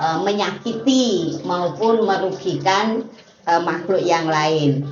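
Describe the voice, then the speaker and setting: A woman speaks very slowly at a medium pitch, her pitch moving in an ordinary way. The room echo is audible, and background noise is noticeable. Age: 60s. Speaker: meditation teacher. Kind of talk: casual explanatory talk. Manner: hesitant, many filler sounds.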